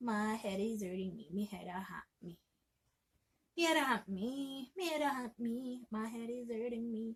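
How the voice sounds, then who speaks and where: A woman talks in a normal speaking voice. It is fairly high, with ordinary pitch variation. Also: moderate pace. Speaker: language teacher. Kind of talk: language lesson to camera.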